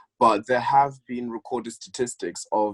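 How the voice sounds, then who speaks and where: The speech runs at a moderate pace in a dry, close sound with no echo. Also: man. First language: not English. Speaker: university student. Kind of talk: casual chat. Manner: repetitive, halting at times.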